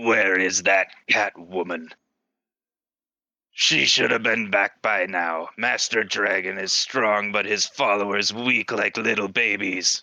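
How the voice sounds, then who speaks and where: In a put-on character voice, a man talks at a fairly slow pace. His pitch is fairly low. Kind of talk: broken, simple phrasing. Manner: menacing, scornful.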